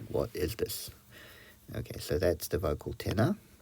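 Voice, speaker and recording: With a somewhat breathy quality, a man talks at a moderate pace. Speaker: music teacher. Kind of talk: tutorial. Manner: hesitant, filler-heavy.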